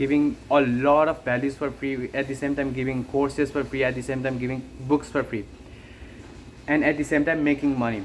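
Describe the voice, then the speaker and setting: Here a man talks with a non-native accent. His pitch is fairly high and his pace moderate. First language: not English. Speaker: online business creator. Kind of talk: unscripted monologue. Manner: halting.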